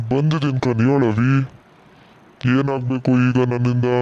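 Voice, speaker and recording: A man performs a cartoonish character voice at a medium pitch. His delivery is fairly slow, with monotone, flat intonation. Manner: blunt, scolding.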